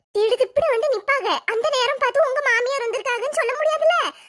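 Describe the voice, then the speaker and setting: This cartoonish character voice belongs to a woman pitched extremely high. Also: fairly quick pace. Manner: gossipy, bossy.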